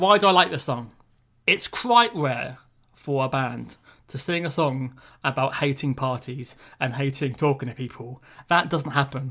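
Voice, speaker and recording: A man speaks at a moderate pace with a British accent, his pitch fairly high and his tone bright and sharp. The recording is very clean, with a silent background and ordinary pitch variation. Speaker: music podcast co-host. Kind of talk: casual chat. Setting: podcast recording. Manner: hesitant, many fillers.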